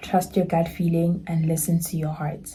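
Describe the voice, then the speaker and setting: A woman speaks at a moderate pace in a fairly low pitch. Her voice is somewhat breathy, with a dark, mellow tone. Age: 20s. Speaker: lifestyle YouTuber. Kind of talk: casual vlog talk to camera.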